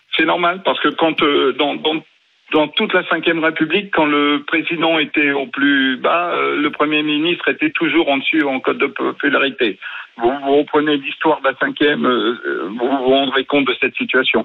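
At a moderate pace and very even loudness, a man speaks over noticeable background noise. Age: 50s. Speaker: radio caller. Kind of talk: call-in opinion.

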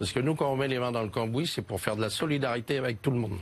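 Ordinary pitch variation at a very fast pace. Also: man. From Paris. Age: 70s. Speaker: mayoral candidate, fairground showman. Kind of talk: TV political interview. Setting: TV studio.

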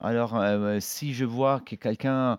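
In a very clean recording with a silent background, a man speaks at a medium pitch with fairly even intonation, the sound dry and close with no echo. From northern Italy. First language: Italian (speaking French). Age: 40s. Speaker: chef. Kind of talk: interview. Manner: halting, with many hesitations.

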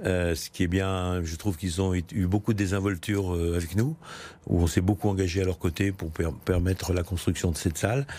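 A man's very deep, low voice has a dark, mellow tone and fairly even intonation. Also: moderate pace. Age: 70s. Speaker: mayor and politician. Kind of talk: political interview. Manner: halting, with frequent hesitations.

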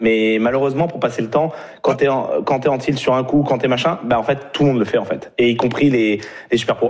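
Amid noticeable background noise, a man talks at a fairly quick pace with a medium pitch and fairly even intonation. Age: 30s. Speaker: professional poker player and vlogger. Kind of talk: casual chat.

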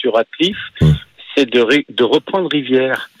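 Lively intonation at a fairly slow pace. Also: man. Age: 60s. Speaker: radio phone-in caller, football fan. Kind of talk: phone-in call. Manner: halting.

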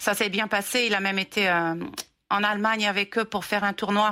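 Her tone bright and sharp, a woman speaks at a moderate pace with monotone, flat intonation. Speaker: player's mother. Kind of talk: interview. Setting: remote call.

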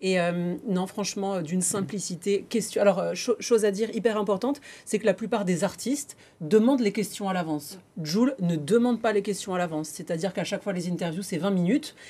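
A woman talks at a fairly quick pace with a medium pitch and ordinary pitch variation. Her tone is dark and mellow, and somewhat breathy. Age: 30s. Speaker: TV presenter. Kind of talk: casual chat.

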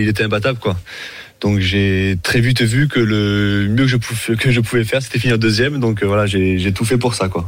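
A medium-pitched man in a normal speaking voice, fairly quick in pace with fairly even intonation. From Montpellier, France. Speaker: sport shooter. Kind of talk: interview.

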